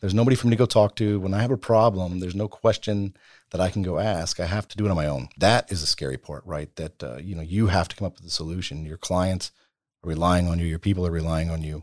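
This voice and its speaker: A man with a very deep, low voice speaks very fast in an American accent, with ordinary pitch variation. The sound is dry and close with no echo, on a very clean recording with a silent background. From Texas, Bastrop near Austin. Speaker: business owner. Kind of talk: interview.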